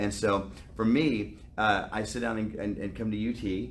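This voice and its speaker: A man with an American accent, fairly low pitch, vocal fry and lively intonation, in audible room echo. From US South. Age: 50s. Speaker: actor. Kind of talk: interview.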